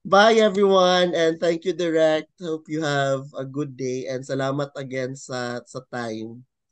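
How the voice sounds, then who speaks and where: A man talks at a fairly slow pace with hardly any pauses, against a quiet background. His pitch is fairly high and shows ordinary variation. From Philippines, Cagayan de Oro; Philippines. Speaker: fashion designer; interviewee. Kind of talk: interview. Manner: halting. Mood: friendly, smiling. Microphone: video call.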